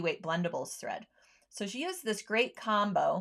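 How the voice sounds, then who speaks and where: A woman with a normal speaking voice talks at a fairly high pitch with lively intonation, in a very clean recording with a silent background. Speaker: sewing show host. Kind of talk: product demo livestream. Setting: livestream. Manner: casual with many fillers.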